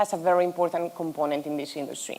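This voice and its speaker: A woman speaks in a fairly low voice with a Spanish accent. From Spain. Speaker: hospitality tech executive. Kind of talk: conference panel discussion.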